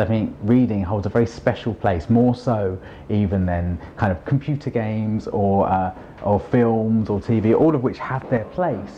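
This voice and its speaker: With a London accent, a man talks at a moderate pace, his pitch fairly low with ordinary variation. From London, England. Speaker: children's author and poet. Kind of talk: interview.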